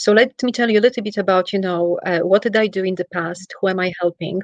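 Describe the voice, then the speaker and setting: A woman's medium-pitched voice with a Polish accent, ordinary pitch variation and a dry, close sound with no echo. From Poland. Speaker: travel executive and wellness practitioner. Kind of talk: interview. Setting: livestream. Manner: animated.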